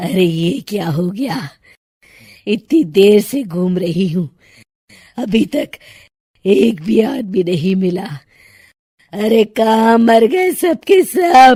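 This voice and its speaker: A raspy, cartoonish character voice comes through. It moves at a very slow pace with long, frequent pauses. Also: woman, medium pitch for a woman. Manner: cackling, menacing.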